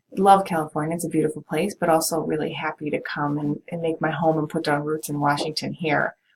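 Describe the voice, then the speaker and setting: Speaking at a fairly quick pace in a slight Minnesota accent, a woman has a very deep, low pitch and a monotone, flat delivery. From US Midwest, Minnesota. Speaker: college professor. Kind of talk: course introduction to students. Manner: casual, many filler ums.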